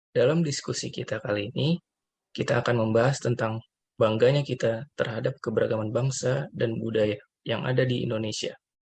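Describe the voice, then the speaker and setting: Somewhat breathy, a man talks at medium pitch and a fairly quick pace with fairly even intonation. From West Sumatra (Minangkabau). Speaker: civil servant trainee. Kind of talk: scripted podcast discussion.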